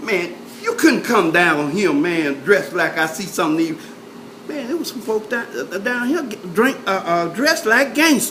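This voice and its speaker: Noticeable background noise runs through the clip. The speaker keeps a moderate pace. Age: 70s. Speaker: oral history interviewee. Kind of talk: casual oral history interview. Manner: halting, many fillers.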